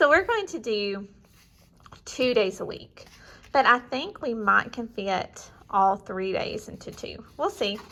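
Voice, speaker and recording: With a slight Southern US accent, a woman talks at a fairly slow pace, her pitch swinging very widely. Her loudness rises and falls sharply over noticeable background noise. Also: fairly high pitch for a woman. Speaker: homeschool curriculum reviewer. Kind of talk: product walkthrough. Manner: casual, conversational.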